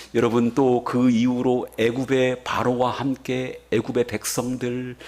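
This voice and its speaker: Over noticeable background noise, a man speaks very slowly at a medium pitch. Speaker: pastor. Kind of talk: sermon. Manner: animated.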